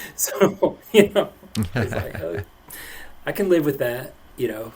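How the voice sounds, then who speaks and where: A man speaks at a fairly slow pace and fairly high pitch, with very wide pitch swings. His loudness swings a lot, and there is noticeable background noise. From East Tennessee. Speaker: podcast host. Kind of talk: casual podcast interview.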